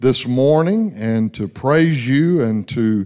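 A man is speaking against a quiet background. His pitch variation is ordinary. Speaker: pastor making announcements. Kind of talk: church announcements and prayer. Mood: warm, lightly humorous. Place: church. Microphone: handheld.

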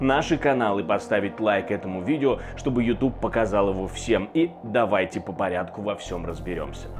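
Over background music, a man with a fairly low pitch talks at a moderate pace with hardly any pauses. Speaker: news presenter. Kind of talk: news commentary. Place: studio. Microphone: lapel.

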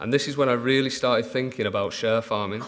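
Medium in pitch, a man talks at a fairly quick pace. His intonation stays monotone and flat. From Manchester, northern England; northern England. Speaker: dairy farmer. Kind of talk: conference talk. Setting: stage with audience. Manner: halting. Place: hall. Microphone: podium.

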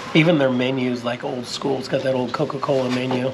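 A man talks with fairly even intonation at a moderate pace. Noticeable background noise is heard. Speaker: travel vlogger. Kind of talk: casual vlog chat. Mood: relaxed, content. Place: cafe. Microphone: phone near.

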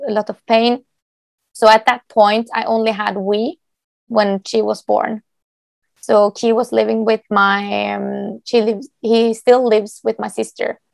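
With a Norwegian accent, a woman speaks in a dry, close sound with no echo. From Norway. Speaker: dog agility competitor and trainer. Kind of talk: interview answer.

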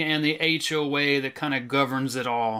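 A man at a moderate pace, bright and sharp in tone, with fairly even intonation against a quiet background. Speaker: horror author. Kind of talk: casual talk to camera. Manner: no put-on accents. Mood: wry, playful. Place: home room. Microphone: webcam.

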